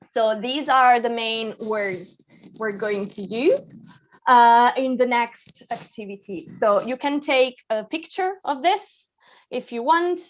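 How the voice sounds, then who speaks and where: A woman's high-pitched voice at a very slow pace, with lively intonation. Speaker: English teacher. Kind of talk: online language lesson.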